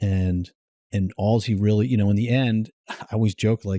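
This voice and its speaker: This man speaks with a dark, mellow tone in a monotone, flat delivery, recorded dry and close with no echo. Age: 60s. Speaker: entrepreneur. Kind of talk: casual chat.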